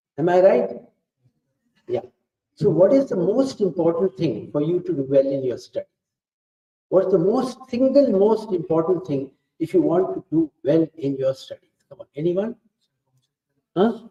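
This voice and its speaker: With an Indian accent and a dark, mellow tone, a man speaks in a high pitch at a moderate pace with lively intonation and long, frequent pauses, the sound dry and close with no echo. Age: 70s. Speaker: professor. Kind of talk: talk to students. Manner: interactive, coaxing questions.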